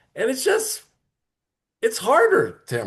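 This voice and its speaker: Against a quiet background, a man speaks in a somewhat breathy voice with very wide pitch swings. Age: 60s. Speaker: club member. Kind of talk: impromptu speech.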